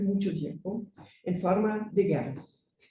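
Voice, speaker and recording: With a German accent, a woman speaks at medium pitch and a fairly slow pace, using ordinary pitch variation. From Germany. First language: German (speaking Spanish). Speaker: conference speaker. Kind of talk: academic presentation.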